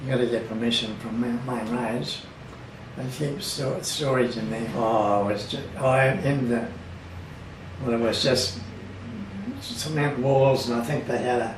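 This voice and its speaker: Pausing long and often, a man with an Australian accent speaks at a fairly slow pace and medium pitch with ordinary pitch variation, over noticeable background noise. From Bundaberg, Queensland, Australia. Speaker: local resident recalling town history. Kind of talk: oral history interview answer.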